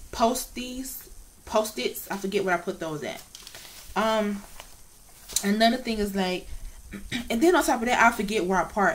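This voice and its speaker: Over noticeable background noise, a woman speaks in a fairly high pitch with lively intonation and long, frequent pauses. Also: moderate pace. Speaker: vlogger with cancer treatment. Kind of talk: casual vlog monologue. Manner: slurred speech.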